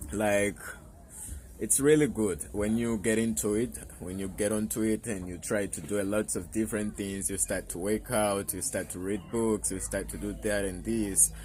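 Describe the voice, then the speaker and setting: A man talks in a fairly low voice, his pitch varying in an ordinary way, at a moderate pace. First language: Portuguese. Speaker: self-improvement youtuber. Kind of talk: casual vlog monologue. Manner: halting, with fillers and repetitions.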